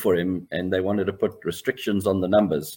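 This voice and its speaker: The speaker is a man. His voice is fairly low in pitch. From South Africa, Pietermaritzburg. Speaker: swimming coach. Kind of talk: interview. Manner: halting.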